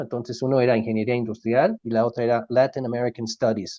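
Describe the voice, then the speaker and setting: This voice has a dark, mellow tone. No echo is present, and the sound is dry and close. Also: man. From Mexico. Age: 60s. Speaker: logistics company CEO. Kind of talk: interview.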